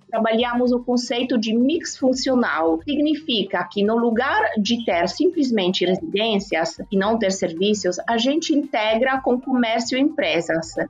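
Over noticeable background noise, a woman with an Italian accent talks at a fairly slow pace with hardly any pauses, her fairly high voice keeping very even loudness and lively intonation. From Italy, Turin. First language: Italian (speaking Portuguese). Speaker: real estate executive. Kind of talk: interview.

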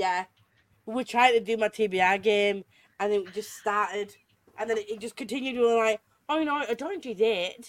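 A woman with a Yorkshire accent, fairly high in pitch, at a moderate pace with ordinary pitch variation. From Yorkshire, England. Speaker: podcast host. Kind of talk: casual chat.

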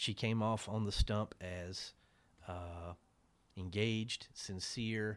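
A man's fairly low voice with ordinary pitch variation, very cleanly recorded against a silent background. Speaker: newspaper reporter. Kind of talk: interview.

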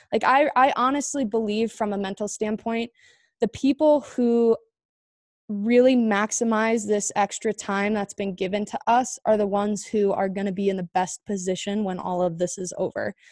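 The speaker has a Southwestern US accent, moderate pace and ordinary pitch variation. The recording is very clean with a silent background and a dry, close sound with no echo. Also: woman, medium pitch for a woman. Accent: American (Southwest). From Arizona, Chandler. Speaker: former Olympic hockey player and podcast host. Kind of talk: interview answers, casual.

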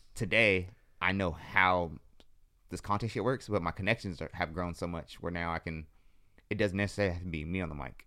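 Recorded very cleanly with a silent background, a man with an American accent speaks at a fairly quick pace with long, frequent pauses, his very deep, low pitch showing ordinary variation in a bright, sharp tone. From San Jose, California. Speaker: photographer and entrepreneur. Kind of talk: casual interview chat. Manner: fast talker.

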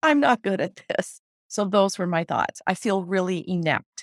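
At a moderate pace, a woman speaks at a medium pitch in a very clean recording with a silent background. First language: not English. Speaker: health and business coach. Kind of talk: being coached. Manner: halting.

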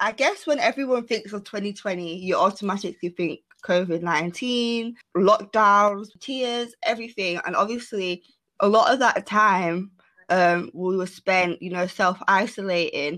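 A woman talks at a fairly slow pace with a bright, sharp tone. Her pitch is medium, with ordinary variation. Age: 20s. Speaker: podcast co-host. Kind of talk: casual chat.

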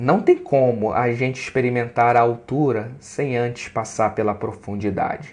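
His intonation stays fairly even. The man speaks with hardly any pauses. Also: medium pitch for a man. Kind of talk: preacher-style sermon, devotional teaching with scripture and poetry. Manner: unhurried, earnest, preacher-like and didactic, explaining with emphasis.

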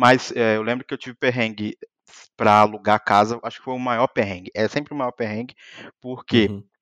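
A man speaks at a fairly quick pace and medium pitch, with fairly even intonation. His unremarkable speaking voice shows big swings in loudness. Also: dry, close sound with no echo. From Brazil, Minas Gerais (Muriaé). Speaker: software engineer and YouTuber. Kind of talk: casual chat.

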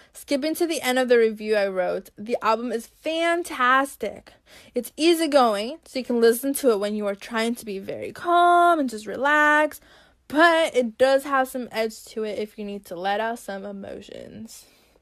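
Speaking at a moderate pace, a woman uses a high pitch, lively intonation, and an enthusiastic tone, with big swings in loudness. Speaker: music podcaster and journalism student. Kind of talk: solo podcast monologue with album reviews.

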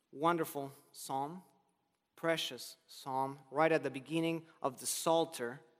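A man with a Spanish accent speaks at a very slow pace, his fairly high pitch carrying fairly even intonation. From Argentina. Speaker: preacher. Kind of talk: sermon. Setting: chapel.

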